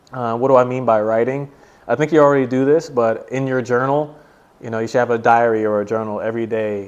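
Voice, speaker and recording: A man with an ordinary speaking voice keeps to a medium pitch. His intonation is fairly even, and his pace is fairly quick. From USA. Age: 20s. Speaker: English teacher. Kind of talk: casual interview.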